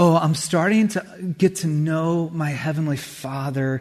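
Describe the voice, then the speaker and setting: A man speaks slowly-ish in a plain, everyday voice, with an American accent. His pitch sits fairly high and varies in an ordinary way. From California, Santa Cruz. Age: 40s. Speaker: pastor. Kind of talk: sermon. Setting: church.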